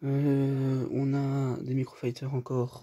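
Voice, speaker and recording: A man is whispering. His voice is quiet. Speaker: youtuber showing toy collection. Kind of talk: casual room tour video. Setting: at home, in bedroom. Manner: whispering, speaks very quietly; hesitant, many fillers.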